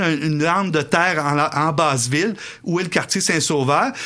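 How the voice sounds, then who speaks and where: With a bright, sharp tone, a man talks at a moderate pace using ordinary pitch variation. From Quebec City area (Beauport). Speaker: historian. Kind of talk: radio interview.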